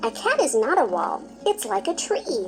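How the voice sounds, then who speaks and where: A female-sounding voice puts on a squeaky character voice, high in pitch. She keeps a moderate pace over clear background noise. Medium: read story. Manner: earnest, eager.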